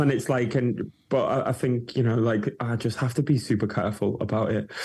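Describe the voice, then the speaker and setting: The voice has a dark, mellow tone and is somewhat breathy. It moves at a fairly quick pace with hardly any pauses. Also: man. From northern England. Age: 30s. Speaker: DJ and producer. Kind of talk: casual chat.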